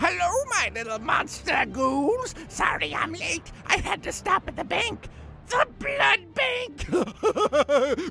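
Clear background noise runs under the recording. Over it comes a put-on character voice at a very slow pace. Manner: playful, punning, spooky.

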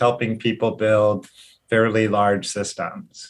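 Very slow speech from a man at medium pitch. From Hawaii. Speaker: software engineer and business owner. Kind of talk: interview.

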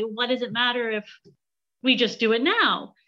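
A woman with a high pitch and a Canadian accent. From Canada.

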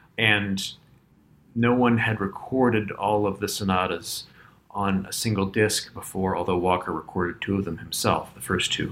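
A man with an American accent speaks at a moderate pace. His pitch is fairly low and his intonation fairly even. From Virginia. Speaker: pianist. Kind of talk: interview. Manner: hesitant, with fillers and repetitions.

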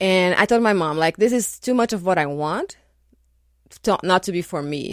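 At a medium pitch and moderate pace, a woman with a Portuguese accent speaks with ordinary pitch variation on a very clean recording with a silent background. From Brazil, São Paulo. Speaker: architect. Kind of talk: radio interview. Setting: radio studio.

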